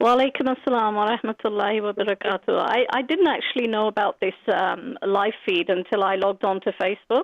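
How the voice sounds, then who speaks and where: A woman with a British accent, fairly high pitch and ordinary pitch variation, at a fairly quick pace with hardly any pauses and very even loudness. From Britain. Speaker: caller. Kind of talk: phone-in comment. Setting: phone call.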